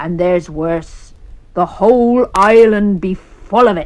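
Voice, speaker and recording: Putting on a character voice, a woman talks at a fairly slow pace at a medium pitch. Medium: read story. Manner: gruff, growling.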